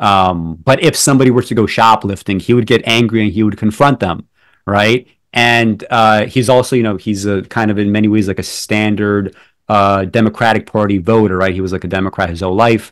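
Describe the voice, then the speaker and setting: In an unremarkable speaking voice, a man talks at a fairly quick pace with fairly low pitch and fairly even intonation. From New York City, born in Belarus. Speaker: poet and film critic. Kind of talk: interview conversation. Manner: many fillers and restarts.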